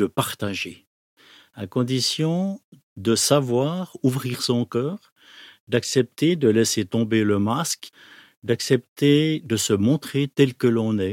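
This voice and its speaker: With a medium pitch and lively intonation, a man speaks at a very slow pace with long, frequent pauses, in a dry, close sound with no echo on a very clean recording against a silent background. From Switzerland, Neuchâtel. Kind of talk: testimony.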